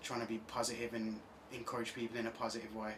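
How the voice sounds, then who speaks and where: Very fast speech from a man with an English accent, with audible room echo and noticeable background noise. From England, Birmingham. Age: 20s. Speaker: singer-songwriter. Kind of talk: radio interview. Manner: halting, many fillers.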